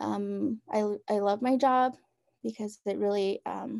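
Speaking very slowly in a fairly high pitch, a woman with an American accent is heard in a very clean recording with a silent background. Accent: Navajo English. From Navajo Nation, Arizona (Round Rock). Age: 20s. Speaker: college program coordinator and silversmith. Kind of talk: casual interview.

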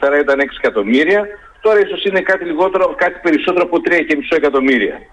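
Noticeable background noise sits behind a man whose high-pitched voice makes very wide pitch swings. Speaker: university professor of communication and media. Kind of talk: radio interview. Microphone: phone line dropped.

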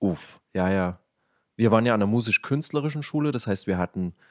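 Lively intonation marks a man's speech. The very clean recording has a silent background and a dry, close sound with no echo. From eastern Germany, Leipzig (Saxony). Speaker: podcast host. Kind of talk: casual chat.

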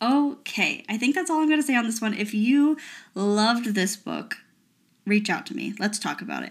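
On a very clean recording with a silent background, a woman speaks fairly quickly in a fairly high, somewhat breathy voice, animated in tone with lively intonation. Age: 20s. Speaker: book podcast host. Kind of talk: solo book review podcast.

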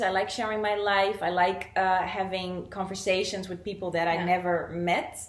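A woman at a medium pitch with a Portuguese accent and hardly any pauses. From Brazil, raised in the Netherlands. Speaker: content creator. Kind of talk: casual interview chat.

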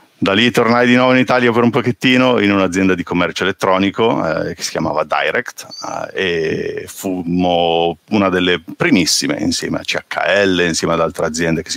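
Over noticeable background noise, a man with a fairly low voice speaks at a fairly quick pace, the sound dry and close with no echo. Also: ordinary pitch variation. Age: 40s. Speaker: open source software engineer. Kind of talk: casual chat. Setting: video call.

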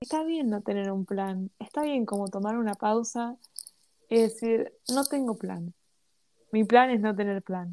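Against a quiet background, a woman with a Rioplatense accent speaks fairly slowly at a fairly high pitch, her dark, mellow tone carrying lively intonation. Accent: Argentine Spanish (rioplatense). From Argentina. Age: 20s. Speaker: podcast co-host. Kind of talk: casual chat.

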